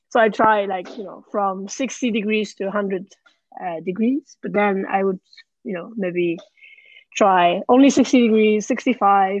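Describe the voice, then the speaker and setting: At a fairly slow pace, a woman of medium pitch talks with ordinary pitch variation and big swings in loudness. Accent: Japanese. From Japan. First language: Japanese. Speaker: champion barista and cafe owner. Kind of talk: interview.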